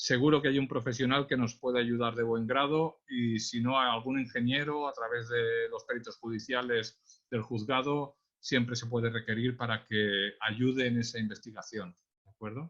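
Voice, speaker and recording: In a Catalan accent, a man speaks at a moderate pace and medium pitch, his intonation fairly even but with big swings in loudness. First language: Catalan (speaking Spanish). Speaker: traffic police accident investigator. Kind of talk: webinar presentation. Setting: online webinar.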